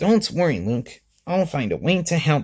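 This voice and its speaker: A man adopts a put-on character voice pitched fairly high. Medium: read story.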